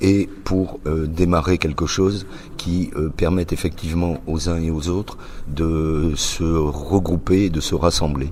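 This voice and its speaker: There is audible room echo around a man's very deep, low voice. He speaks at a very slow pace. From northern France, Roubaix. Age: 60s. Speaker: association founder. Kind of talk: interview. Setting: press conference. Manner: hesitant, many fillers.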